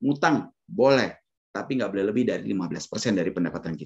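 The background is quiet. A man talks with lively intonation. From Indonesia. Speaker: financial planner. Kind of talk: webinar talk. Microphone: video call.

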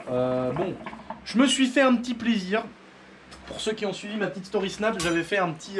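A very fast-talking man over light background noise. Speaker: motorbike hobbyist vlogger. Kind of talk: casual vlog chat. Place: workshop. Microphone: camera far.

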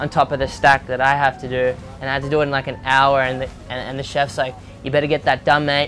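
A man in a monotone, flat intonation, with clear music in the background. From Indonesia (Bali) and Australia. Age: 20s. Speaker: professional surfer. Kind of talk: interview answer. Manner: casual, rambling. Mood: candid, emotional storytelling. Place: boat. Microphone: lapel.

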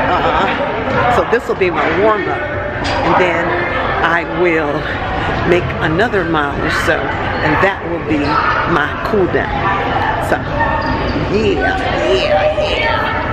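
A woman speaking at a very slow pace with long, frequent pauses over loud background noise. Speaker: vlogger. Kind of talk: casual vlog chat. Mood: cheerful, upbeat. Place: gym. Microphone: phone near.

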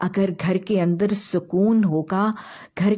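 Against a quiet background, a woman speaks at a very slow pace. Her tone is dark and mellow, and somewhat breathy. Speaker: religious teacher. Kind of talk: religious lecture. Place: home room.

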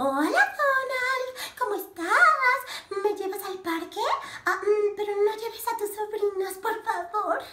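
In a cartoonish character voice, a woman talks at a fairly slow pace with an extremely high pitch.

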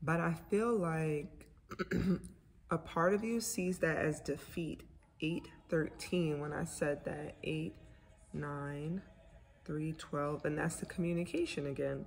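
A woman speaks with a very deep, low pitch and a somewhat breathy voice. Her intonation is lively, with light background noise behind her. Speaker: tarot reader. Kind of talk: casual tarot reading. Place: home room. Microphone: phone near.

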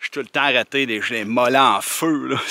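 A man with a Quebec accent, a dry sound with no echo and a quiet background. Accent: Québécois French. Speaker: hiker vlogger. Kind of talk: casual vlog narration. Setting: outdoors. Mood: relaxed, unhurried.

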